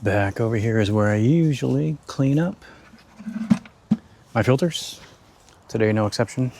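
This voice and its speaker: A soft-spoken man uses a calm tone and lively intonation. He leaves long, frequent pauses. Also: medium pitch for a man, moderate pace. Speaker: aquarium hobbyist YouTuber. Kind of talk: tutorial.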